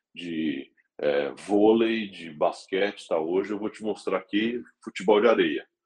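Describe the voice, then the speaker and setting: With a normal speaking voice, a man talks fairly slowly, his loudness swinging widely and his pitch varying in an ordinary way. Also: fairly low pitch for a man. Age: 40s. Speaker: motorsport executive. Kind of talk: interview.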